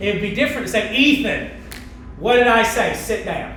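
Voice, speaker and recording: The speech comes at a moderate pace. Audible room echo and noticeable background noise fill the recording. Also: man. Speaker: camp director leading staff training. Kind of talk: staff training talk. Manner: casual, halting with fillers.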